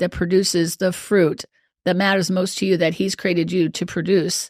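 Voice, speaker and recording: Speaking with a Midwestern American accent, a woman keeps a moderate pace and medium pitch on a very clean recording with a silent background. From US Midwest. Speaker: life coach. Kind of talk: podcast interview.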